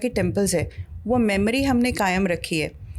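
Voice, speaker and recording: This woman speaks with a Marathi accent. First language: Marathi (speaking Hindi). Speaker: author. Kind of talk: interview. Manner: code-switching into English.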